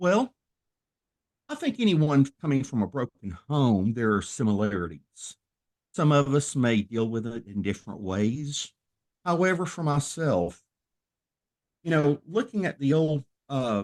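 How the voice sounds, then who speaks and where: Over a quiet background, a man with a Southern US accent speaks at a fairly slow pace with long, frequent pauses. His fairly high pitch swings very widely. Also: dry, close sound with no echo. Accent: Southern drawl. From US South, Tennessee. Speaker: minister and former professional wrestler. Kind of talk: podcast interview.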